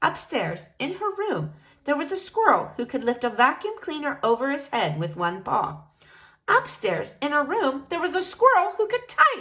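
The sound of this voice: Woman at a high pitch, bright, sharp tone, very wide pitch swings, audible room echo. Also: moderate pace.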